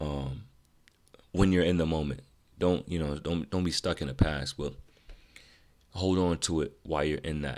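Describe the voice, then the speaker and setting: With a very deep, low pitch, a man speaks in fairly even intonation, leaving long, frequent pauses. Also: moderate pace. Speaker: podcast host. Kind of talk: casual solo podcast monologue. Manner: monotone; casual, positive, conversational.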